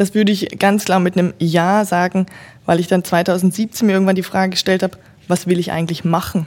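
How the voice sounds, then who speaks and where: A woman talks fairly quickly at a medium pitch. Her intonation stays flat and monotone. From northern German lowlands. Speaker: hospital innovation specialist, former physiotherapist. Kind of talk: interview about her master's thesis.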